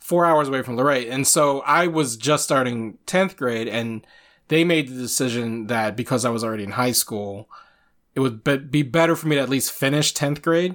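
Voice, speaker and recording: A man with an American accent speaks in a normal speaking voice at medium pitch and a moderate pace, with ordinary pitch variation. The recording is very clean, with a silent background. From Virginia (Shenandoah Valley, then Chesapeake). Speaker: podcast host. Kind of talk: casual chat.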